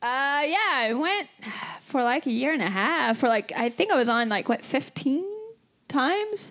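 Speaking at a moderate pace, a woman uses a high voice with very wide pitch swings. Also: quiet background. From Kentucky. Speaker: pro wrestler. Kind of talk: live podcast chat. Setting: stage with audience. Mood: relaxed storytelling. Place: stage. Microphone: handheld.

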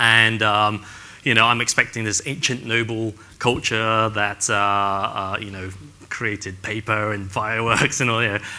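Speaking with an English accent, a man talks at a fairly slow pace in a monotone, flat intonation. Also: fairly low pitch for a man. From England. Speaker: real estate agent; panelist. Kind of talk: panel discussion. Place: stage.

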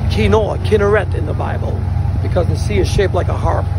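A man at a fairly quick pace, dry with no echo, music in the background. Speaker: minister tour host. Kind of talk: casual vlog commentary. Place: boat. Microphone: phone near.

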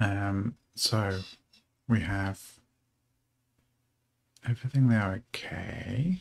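At a very slow pace, a man talks with vocal fry. His pitch is fairly low, with ordinary pitch variation.

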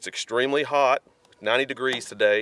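The sound is dry with no echo as a man talks. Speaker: hunter vlogger. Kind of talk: casual vlog chat. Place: open country.

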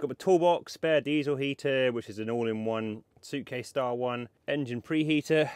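Recorded with a dry sound and no echo, a man talks at a fairly slow pace with fairly even intonation. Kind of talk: casual vlog tour. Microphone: phone near.

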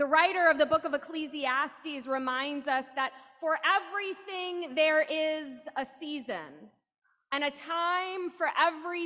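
A woman uses a raised, projected voice with ordinary pitch variation. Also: quiet background. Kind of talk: liturgical call to worship and welcome. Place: church. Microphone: podium.

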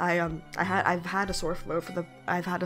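With music in the background, a woman speaks at a fairly low pitch in a monotone, flat intonation. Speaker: gaming video creator. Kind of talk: casual talk to camera.

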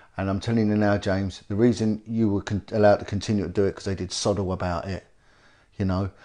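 A man's very fast, monotone, flat delivery in a British accent, fairly low in pitch, over a quiet background. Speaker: former police detective and campaigner. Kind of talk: interview. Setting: indoor location in North London.

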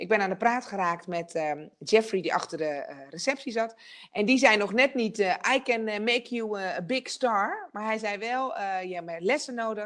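A woman at a fairly high pitch, moderate pace and lively intonation, with big swings in loudness over a quiet background. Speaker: television presenter and speaker; television presenter, speaker. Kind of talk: online masterclass talk. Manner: energetic. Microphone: video call.

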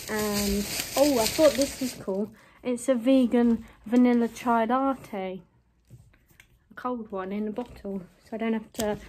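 Somewhat breathy, a woman speaks at a fairly slow pace with long, frequent pauses over light background noise. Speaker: student vlogger. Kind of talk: casual vlog chat. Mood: playful, self-mocking. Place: home room. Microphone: phone near.

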